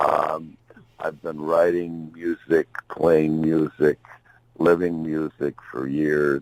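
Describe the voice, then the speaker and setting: Very slowly and in a monotone, flat intonation, a man with an American accent speaks in a very deep, low voice, the sound dry and close with no echo. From US Midwest, Chicago. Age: 70s. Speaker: blues musician and songwriter. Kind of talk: interview. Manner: halting, many fillers.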